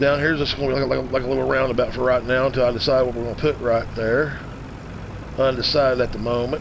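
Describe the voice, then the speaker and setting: Very fast and in monotone, flat intonation, a man speaks over noticeable background noise and audible room echo. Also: medium pitch for a man. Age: 50s. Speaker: gaming streamer. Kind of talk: live stream game commentary. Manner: casual, halting with repetitions.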